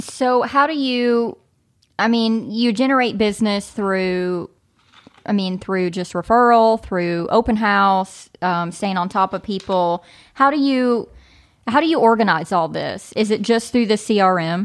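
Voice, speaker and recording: A woman talks at a fairly slow pace and fairly high pitch with ordinary pitch variation, a plain, everyday voice, on a very clean recording with a silent background. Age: 30s. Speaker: podcast host and real estate agent. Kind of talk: casual chat.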